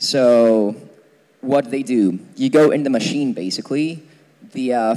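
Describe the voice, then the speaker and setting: A man talks in an unremarkable speaking voice. His pace is moderate and his pitch variation ordinary. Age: 20s. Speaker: physics student lecturer. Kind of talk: lecture. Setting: lecture hall with audience, using a mic. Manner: casual, many fillers.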